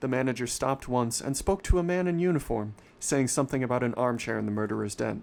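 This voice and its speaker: Speaking at a very fast pace with lively intonation, a man with a medium pitch is heard in a very clean recording with a silent background. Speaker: livestreamer reading a story aloud. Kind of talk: horror story reading, livestream narration. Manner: occasional stumbles and self-corrections, live reading.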